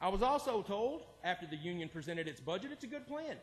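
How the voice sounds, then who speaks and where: A loud man's voice with lively intonation. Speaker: public commenter, 911 dispatcher. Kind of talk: public comment at city council. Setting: city council meeting.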